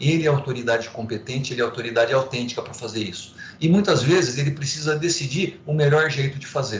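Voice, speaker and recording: A man's fairly high, somewhat breathy voice at a very fast pace, with ordinary pitch variation, big swings in loudness and audible room echo. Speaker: law professor. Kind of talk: lecture. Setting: online class via video platform.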